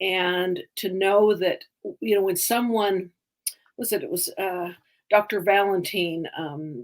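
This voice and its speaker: There is a woman speaking in an American accent. Her pitch is medium, with ordinary variation. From Utah. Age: 60s. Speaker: storyteller. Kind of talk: testimony. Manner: halting.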